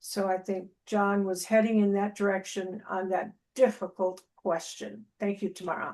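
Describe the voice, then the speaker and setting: The speaker keeps a moderate pace with hardly any pauses and a monotone, flat intonation. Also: woman, medium pitch for a woman. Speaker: club member. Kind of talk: impromptu evaluation. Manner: halting.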